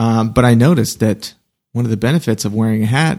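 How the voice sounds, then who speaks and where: At a fairly quick pace, a man speaks at medium pitch in a normal speaking voice. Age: 30s. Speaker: podcast co-host. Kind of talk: casual chat.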